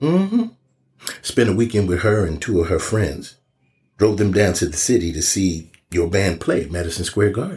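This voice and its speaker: Somewhat breathy, a man with a fairly low pitch speaks at a moderate pace with ordinary pitch variation. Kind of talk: horror audio drama dialogue. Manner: gruff, folksy, probing.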